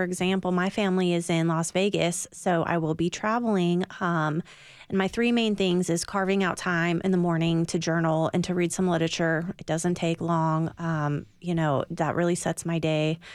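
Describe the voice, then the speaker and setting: A woman with an American accent and an ordinary speaking voice talks at a moderate pace and fairly low pitch with fairly even intonation, on a very clean recording with a silent background. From California. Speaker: recovering alcoholic, AA member. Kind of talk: radio interview, personal testimony.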